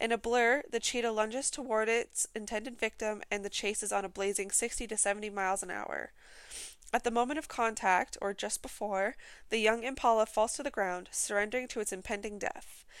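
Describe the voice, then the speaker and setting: A woman with a plain, everyday voice, fairly high in pitch, at a fairly quick pace with fairly even intonation, in a very clean recording with a silent background. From British Columbia, Canada. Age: 20s. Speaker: podcast host. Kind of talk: casual solo podcast chat; reading documentary-style narration near 18:22. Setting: home recording. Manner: rambling, self-interrupting, chatty.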